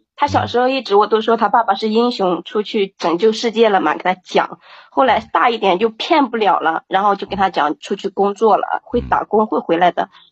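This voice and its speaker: A woman speaks at a fairly quick pace with hardly any pauses, at a medium pitch. She has an unremarkable speaking voice with ordinary pitch variation. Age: 30s. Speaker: single mother caller. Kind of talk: call-in advice conversation.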